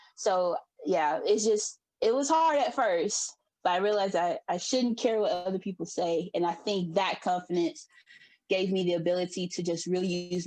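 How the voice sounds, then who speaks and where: A woman's voice of medium pitch, a normal speaking voice, usual pitch movement and an unhurried yet not slow tempo. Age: 20s. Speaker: library worker and fashion designer. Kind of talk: panel discussion.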